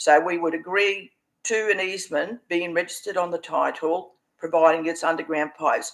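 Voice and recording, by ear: This man has a fairly high pitch, vocal fry and a fairly bright tone. He talks at a moderate pace with fairly even intonation.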